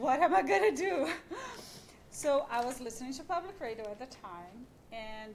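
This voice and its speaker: There is audible room echo and noticeable background noise as a woman with a non-native accent speaks with lively intonation. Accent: foreign. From Brazil. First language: Portuguese. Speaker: radio journalist and podcast creator. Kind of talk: panel discussion.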